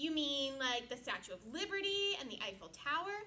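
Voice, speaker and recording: Using a put-on character voice, a woman speaks at a high pitch with very wide pitch swings over clear background noise. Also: moderate pace. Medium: read story. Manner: gentle, slightly shy.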